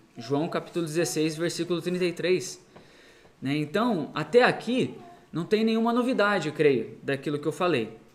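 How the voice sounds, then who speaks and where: Lively intonation at a moderate pace. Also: man, high pitch for a man. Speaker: missionary preacher. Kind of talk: sermon. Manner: halting, many fillers.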